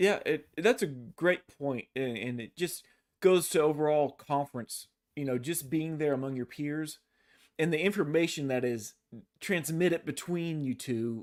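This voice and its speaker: In a Texas accent, a man speaks at a fairly high pitch with ordinary pitch variation. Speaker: podcast host. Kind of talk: interview. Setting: live online stream.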